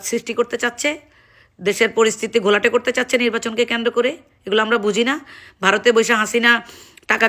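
Her fairly high voice has a bright, sharp tone. The woman sounds animated. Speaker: political commentator. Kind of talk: political rant.

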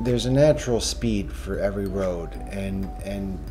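Clear music in the background behind a man's moderate pace. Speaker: driver vlogger. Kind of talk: casual vlog chat. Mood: opinionated, relaxed. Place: car.

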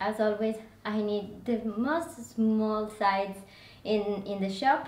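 In a room with audible echo, a woman speaks very slowly in a fairly high pitch. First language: not English. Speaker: fashion and lifestyle vlogger. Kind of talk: casual product review haul video. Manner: animated, enthusiastic, slightly halting. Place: home room. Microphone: camera far.

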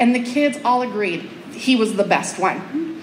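Light background noise and audible room echo surround a woman's voice. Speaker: teacher giving a talk. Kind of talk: public speech storytelling. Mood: warm, heartfelt. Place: hall. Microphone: pa.

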